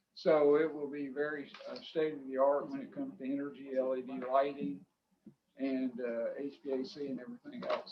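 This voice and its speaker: This man talks at a fairly quick pace with a Florida Panhandle accent. His pitch sits fairly high, with ordinary variation. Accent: Southern US, Florida Panhandle. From Florida Panhandle (Pensacola). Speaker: restaurant developer. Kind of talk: public meeting testimony. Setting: county commission meeting. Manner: halting.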